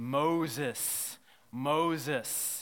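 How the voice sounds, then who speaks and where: A man adopts a put-on character voice, pitching it fairly high. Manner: booming, solemn.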